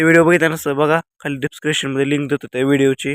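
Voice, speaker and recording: A man speaks in a fairly high voice. His intonation is monotone and flat. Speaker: vlogger. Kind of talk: casual vlog talk to camera. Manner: halting, repetitive.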